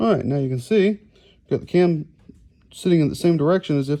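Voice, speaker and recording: A fairly quick pace in a Southern US accent. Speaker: mechanic. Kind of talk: tutorial. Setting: workshop.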